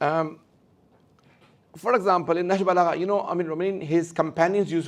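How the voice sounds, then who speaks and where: There is audible room echo as a man speaks at a high pitch. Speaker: Islamic scholar. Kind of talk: lecture. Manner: fast.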